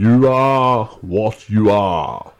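In a put-on character voice, a man booms out his lines at a medium pitch.

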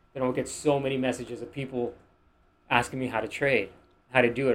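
This is a man speaking. He talks with a Miami accent. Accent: American, Miami. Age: 20s. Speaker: podcast guest, finance-minded entrepreneur. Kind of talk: casual chat.

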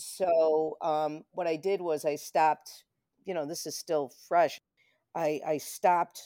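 Speaking very slowly with an American accent, a woman uses a very deep, low pitch, a dark, mellow tone and fairly even intonation, with a dry, close sound and no echo. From Rochester, New York. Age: 50s. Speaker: psychic medium and video producer. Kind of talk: casual interview chat. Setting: remote call.

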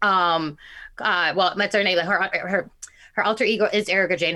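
The recording is very clean, with a silent background. A woman speaks at a medium pitch in a bright, sharp tone with lively intonation. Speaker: podcast co-host. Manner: very fast talker; speaks very fast, words rushing.

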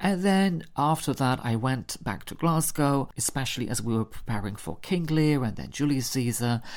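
This speaker has a Polish accent. The pace is moderate. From Poland. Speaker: podcast host and theatre maker. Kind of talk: solo storytelling podcast.

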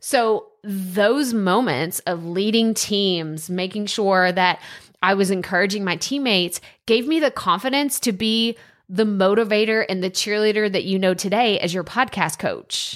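In a very clean recording with a silent background, a woman with an American accent talks at a fairly slow pace in an animated tone, with a medium pitch and ordinary pitch variation. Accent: Texan country accent, can be thick. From Texas. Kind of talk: monologue. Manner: loud.

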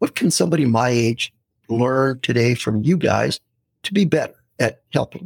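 With an American accent, a man talks at a moderate pace in a medium pitch, somewhat breathy, with lively intonation. The sound is dry and close, with no echo. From San Francisco, US West Coast. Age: 60s. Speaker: retired pastor, missionary and anthropology professor. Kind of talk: casual interview chat.

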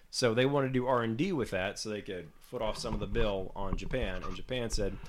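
Here a man talks at a fairly quick pace. He has an unremarkable speaking voice. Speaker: podcast co-host. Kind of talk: casual chat.

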